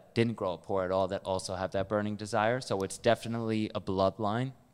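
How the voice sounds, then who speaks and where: Talking at a fairly quick pace, a man with a fairly low pitch uses an unremarkable speaking voice and fairly even intonation on a very clean recording with a silent background. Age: 20s. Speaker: real estate investor. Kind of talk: casual chat.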